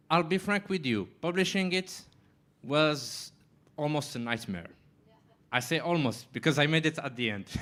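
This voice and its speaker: A man talks at a moderate pace with a French accent, his fairly high pitch rising and falling in lively intonation. His tone is bright and sharp, broken by long, frequent pauses. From Morocco. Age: 20s. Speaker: writer. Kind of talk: panel discussion.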